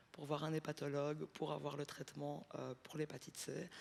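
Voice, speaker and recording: This is a woman talking. Her pitch is very deep and low. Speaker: audience member. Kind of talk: audience question.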